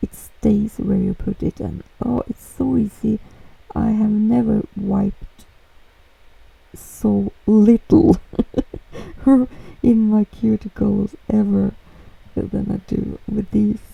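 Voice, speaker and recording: A woman speaks with a Norwegian accent at a very slow pace. She leaves long, frequent pauses. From Norway. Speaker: nail art youtuber. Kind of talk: tutorial voiceover. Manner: casual, hesitant with fillers.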